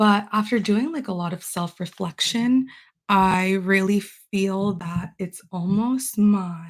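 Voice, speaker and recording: The voice is somewhat breathy, moving at a very slow pace with ordinary pitch variation. The recording is very clean with a silent background. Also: woman, medium pitch for a woman. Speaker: self-help vlogger. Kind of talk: live stream monologue. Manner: casual, filler-heavy.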